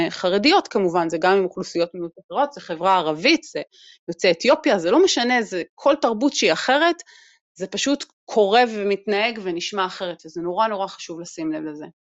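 A woman with an ordinary speaking voice, medium pitch, lively intonation and big swings in loudness. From Israel, Haredi community. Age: 40s. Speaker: employment program developer, diversity expert. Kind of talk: casual interview chat.

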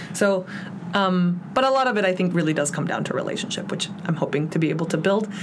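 Amid noticeable background noise and audible room echo, a woman with an American accent talks at a very fast pace, her medium pitch showing ordinary variation. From Mexico City, then Chicago from age 10. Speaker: city council candidate, community organizer. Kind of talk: interview. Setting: studio.

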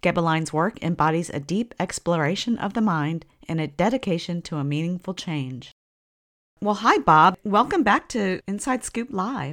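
In an ordinary speaking voice, a woman with a fairly low pitch talks at a moderate pace with lively intonation, her sound dry and close with no echo on a very clean recording against a silent background. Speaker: podcast host. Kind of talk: interview.

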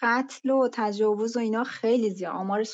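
Her fairly high voice moves at a fairly quick pace, and this woman uses ordinary pitch variation. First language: Azerbaijani (speaking Persian). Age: 30s. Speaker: UI/UX and mobile game designer. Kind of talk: casual interview. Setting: online call from laptop. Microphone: connection dropouts.

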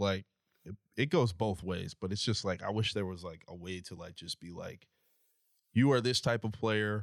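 An ordinary speaking voice from a man, fairly low in pitch with ordinary variation, at a moderate pace, with big swings in loudness and a dry, close sound with no echo. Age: 30s. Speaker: podcast co-host, works in tech sales. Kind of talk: casual chat.

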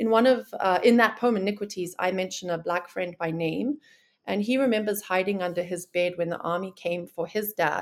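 On a very clean recording with a silent background, a woman speaks at a medium pitch and moderate pace with ordinary pitch variation. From Zimbabwe (Harare). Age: 30s. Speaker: poet. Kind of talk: interview.

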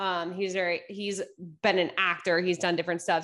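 A woman's medium-pitched voice with an East Coast US accent, over a quiet background. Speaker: sports podcast host. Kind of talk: casual chat.

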